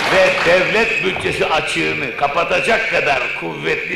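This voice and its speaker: With audible room echo and noticeable background noise, a man talks at a fairly slow pace. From Istanbul, Turkey. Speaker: poet and thinker. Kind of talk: public lecture. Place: hall. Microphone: old recording.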